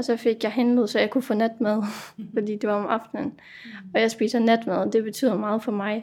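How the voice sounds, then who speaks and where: In an unremarkable speaking voice, a woman talks at a fairly high pitch. Her pace is moderate and her intonation fairly even. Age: 20s. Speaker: resident of a psychiatric residential home. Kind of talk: casual chat.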